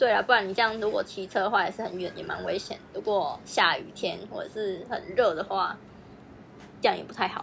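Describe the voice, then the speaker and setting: Speaking at a fairly quick pace in an unremarkable speaking voice, a woman keeps a medium pitch with ordinary pitch variation but big swings in loudness. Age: 20s. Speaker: advertising office worker, podcast co-host. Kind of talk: casual chat.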